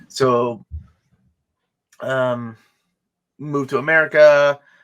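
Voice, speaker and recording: A man with a Spanish accent is heard on a very clean recording with a silent background. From Peru. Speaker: comic collector and YouTuber. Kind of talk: casual interview chat.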